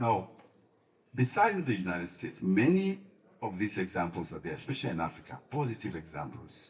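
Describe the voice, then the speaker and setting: A man talks at a fairly quick pace in a somewhat breathy voice. His pitch swings very widely, and the room echo is audible. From Sierra Leone. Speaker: faith-based advocacy leader. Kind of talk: panel discussion. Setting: conference panel.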